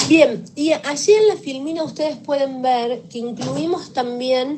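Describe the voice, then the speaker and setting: Lively intonation at a very slow pace, with audible room echo and noticeable background noise. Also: woman. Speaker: victim assistance professional. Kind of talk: lecture.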